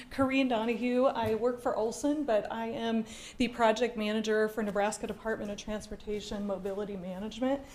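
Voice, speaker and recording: Audible room echo and noticeable background noise surround a woman's voice. She speaks at a moderate pace with fairly high pitch and fairly even intonation. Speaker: transportation project manager. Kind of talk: public presentation. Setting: council chambers with audience. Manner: loud.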